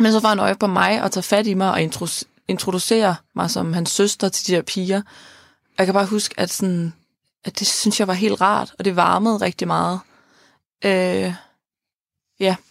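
A woman at medium pitch speaks at a moderate pace, her intonation monotone and flat. Long, frequent pauses recur on a very clean recording with a silent background. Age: 20s. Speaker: podcast host. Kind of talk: personal testimony about grief. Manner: halting, repeats words.

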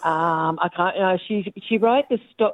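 Speaking fairly slowly, a female voice carries an Australian accent. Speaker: caller. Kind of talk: casual chat.

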